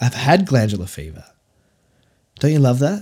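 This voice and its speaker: A somewhat breathy man with an Australian accent speaks at a moderate pace, on a very clean recording with a silent background. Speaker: podcast host and success coach. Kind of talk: solo podcast monologue. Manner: casual, filler-heavy.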